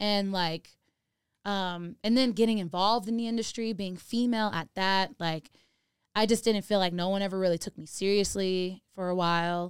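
Speaking in an American accent, a woman uses an ordinary speaking voice at medium pitch, with fairly even intonation and a moderate pace, on a very clean recording with a silent background. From Los Angeles area, California. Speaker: DJ and music producer. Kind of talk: casual interview chat.

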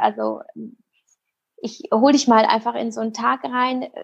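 A woman's high-pitched voice at a moderate pace against a quiet background. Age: 30s. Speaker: content creator and meditation podcaster. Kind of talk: interview.

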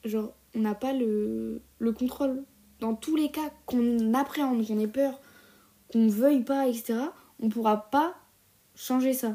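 The voice has a dark, mellow tone and fairly even intonation, moving at a very slow pace with long, frequent pauses. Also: woman, high pitch for a woman. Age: 20s. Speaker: solo podcaster. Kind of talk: casual monologue. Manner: hesitant, many fillers.

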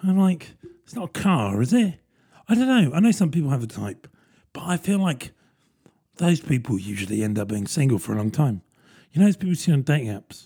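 Fairly high in pitch yet dark and mellow in tone, a somewhat breathy man talks at a fairly quick pace with very wide pitch swings and long, frequent pauses. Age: 30s. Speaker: podcast host. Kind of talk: casual solo monologue.

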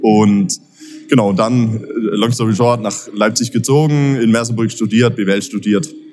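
The speaker talks at a fairly slow pace with fairly even intonation and very even loudness. Music plays in the background. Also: man, medium pitch for a man. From Baden-Württemberg, between Pforzheim and Karlsruhe. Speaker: entrepreneur, event organiser. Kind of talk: interview. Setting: at a live event venue. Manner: many filler sounds (äh, ähm).

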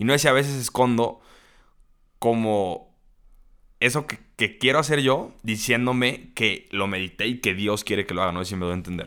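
This man has an unremarkable speaking voice at a medium pitch, talking at a moderate pace with ordinary pitch variation in a very clean recording with a silent background. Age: young. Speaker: podcast host. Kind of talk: casual chat.

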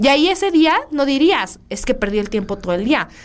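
A woman is speaking. Her pitch swings very widely. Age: 30s. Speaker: podcast host, semiotics student. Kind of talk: casual chat.

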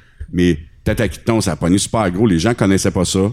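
A man talks at a very slow pace in a Quebec accent. His voice is very deep and low. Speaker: podcast host. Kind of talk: casual chat. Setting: studio.

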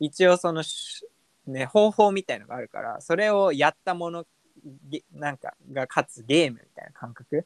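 Moderate pace and ordinary pitch variation, with big swings in loudness and a dry, close sound with no echo. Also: man, high pitch for a man. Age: 20s. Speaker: podcast co-host, office worker. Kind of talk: casual chat.

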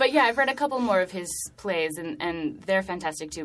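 Speaking at a very fast pace, a woman uses a fairly low pitch with very wide swings. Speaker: theater director. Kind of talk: casual interview chat.

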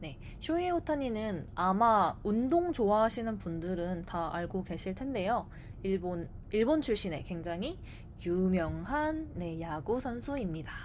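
In a room with audible echo, a woman talks fairly slowly at a medium pitch, her voice making very wide pitch swings. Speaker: Korean language teacher. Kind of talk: scripted casual chat.

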